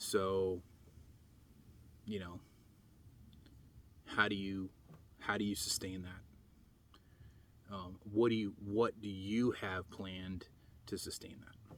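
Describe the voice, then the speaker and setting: A man at a very slow pace, with long, frequent pauses, big swings in loudness and monotone, flat intonation. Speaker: preparedness vlogger. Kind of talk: casual vlog monologue. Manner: halting, many fillers and pauses; self-conscious, unpolished on camera.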